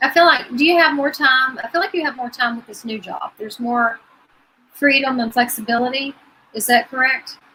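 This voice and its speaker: A raised, projected voice at a fairly quick pace, with ordinary pitch variation and big swings in loudness. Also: woman, high pitch for a woman. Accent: Appalachian. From Virginia. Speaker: psychic medium. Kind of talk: live psychic reading.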